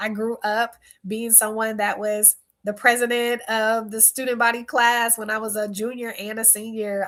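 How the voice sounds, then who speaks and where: Over a silent background in a very clean recording, a woman talks at a moderate pace. Her fairly high pitch holds a monotone, flat intonation. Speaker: speaker and workshop facilitator. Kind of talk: casual vlog talk.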